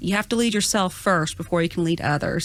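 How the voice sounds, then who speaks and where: A woman in a Southern US accent with lively intonation. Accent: Southern twang. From US South, Georgia (Gwinnett). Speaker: college administrator. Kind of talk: podcast interview. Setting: studio.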